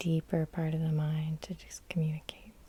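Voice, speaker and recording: A woman's very deep, low voice, dark, mellow and gentle in tone, somewhat breathy. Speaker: hypnotherapist. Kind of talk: guided hypnosis session. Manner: soft-spoken, gentle.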